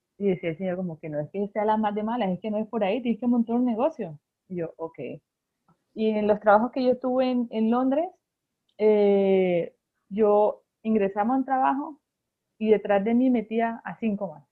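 A woman speaks in a plain, everyday voice with a fairly high pitch, ordinary pitch variation and a moderate pace. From Colombia, Barranquilla. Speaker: pastry chef and baker. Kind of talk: casual interview.

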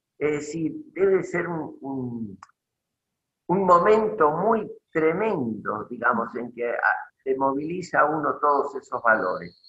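A man speaks at a very slow pace with long, frequent pauses. His fairly high voice has a bright, sharp tone. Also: lively intonation. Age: 80s+. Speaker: retired engineer and inventor. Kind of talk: interview conversation.

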